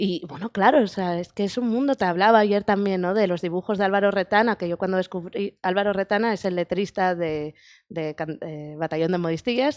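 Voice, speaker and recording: A woman talks at a fairly quick pace and medium pitch, with ordinary pitch variation. The sound is dry and close with no echo, and the background is quiet. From Asturias, Spain. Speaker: film director. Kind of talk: interview. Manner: halting.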